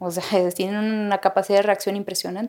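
A woman speaks at a fairly quick pace. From Mexico. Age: 30s. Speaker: singer. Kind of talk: interview testimony.

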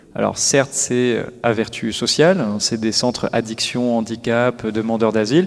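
With an ordinary speaking voice, a man speaks at a moderate pace with medium pitch and ordinary pitch variation. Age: 30s. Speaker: social enterprise executive. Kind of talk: interview. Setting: live forum event.

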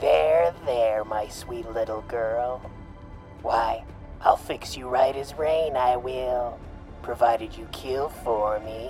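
Over clear background music, a put-on character voice at a low-to-middle pitch speaks at a very slow pace. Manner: sweetly coaxing but sinister.

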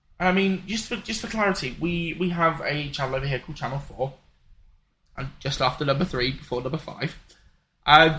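A man with a British accent and a fairly high pitch speaks in a bright, sharp tone at a moderate pace with lively intonation. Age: 20s. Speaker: podcast co-host. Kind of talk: casual chat. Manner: halting.

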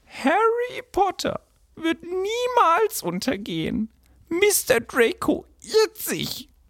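In a put-on character voice, a man talks very slowly at an extremely high pitch with very wide pitch swings. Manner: excited, defiant.

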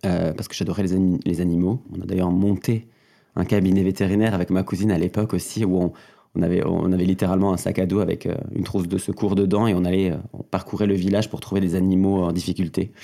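Very fast and monotone, a man speaks in a very deep, low pitch with a dark, mellow tone. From southwestern France (Gers, near Toulouse). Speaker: drag performer. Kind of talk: interview conversation.

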